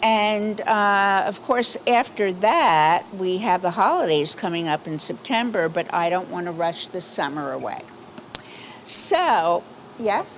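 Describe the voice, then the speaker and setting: A woman with lively intonation talks at a fairly slow pace and medium pitch over noticeable background noise. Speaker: synagogue board trustee. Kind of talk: community announcements. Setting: outdoor patio service with microphone. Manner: casual, chatty.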